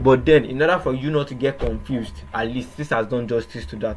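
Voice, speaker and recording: With a Nigerian accent, a man talks at a fairly quick pace and a medium pitch over noticeable background noise. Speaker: trading educator. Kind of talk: tutorial. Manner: hesitant, repetitive.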